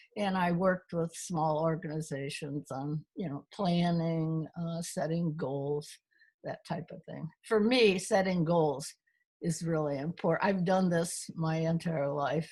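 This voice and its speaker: The voice is somewhat breathy, with a dark, mellow tone. It moves at a fairly slow pace with fairly even intonation. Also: woman. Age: 90s. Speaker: retired chemist and consultant. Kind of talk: interview.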